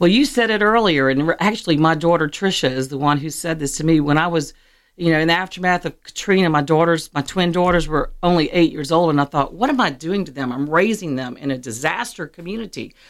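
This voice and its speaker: Talking at a very fast pace with hardly any pauses, a woman with an American accent uses a fairly low pitch and lively intonation. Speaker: chamber of commerce executive director. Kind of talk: casual interview. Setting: radio studio.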